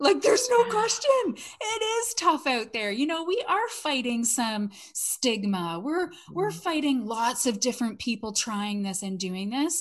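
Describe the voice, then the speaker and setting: In a Canadian accent, a woman speaks fairly slowly at a high pitch, with very wide pitch swings. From Canada. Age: 40s. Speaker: network marketer and former salon owner. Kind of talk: casual interview chat.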